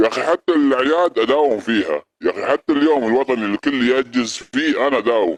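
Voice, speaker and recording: With hardly any pauses, a man speaks at a moderate pace in a fairly high pitch with ordinary variation, the sound dry and close with no echo. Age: 50s. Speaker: security guard. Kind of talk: heated debate. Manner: animated.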